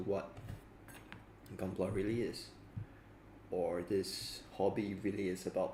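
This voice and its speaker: Very slow and monotone, this man speaks with very deep, low pitch, flat intonation, some breathiness and audible room echo. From Singapore. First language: Mandarin. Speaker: hobbyist model kit builder streamer. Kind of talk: casual livestream chat. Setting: livestream while building. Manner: halting, with many fillers and repetitions.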